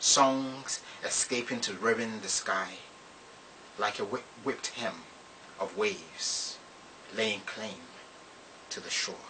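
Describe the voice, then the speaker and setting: The speech moves at a very slow pace with long, frequent pauses and fairly even intonation against noticeable background noise. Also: man, medium pitch for a man. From Ghana. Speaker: poet. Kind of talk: poetry reading.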